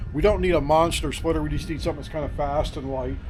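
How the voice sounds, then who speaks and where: A man's fairly high-pitched voice over music in the background. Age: 60s. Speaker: wood yard owner. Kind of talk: casual chat. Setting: outdoors.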